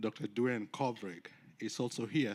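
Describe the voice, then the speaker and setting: The man's medium-pitched voice carries a Kenyan accent and ordinary pitch variation, heard on a very clean recording with a silent background. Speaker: university research compliance officer. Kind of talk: conference presentation. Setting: conference stage with audience.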